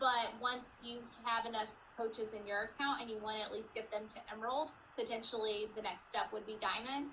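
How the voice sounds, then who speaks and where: A woman speaks at a fairly high pitch with fairly even intonation. Room echo is audible. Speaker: network marketing coach. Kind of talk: team training call Q&A.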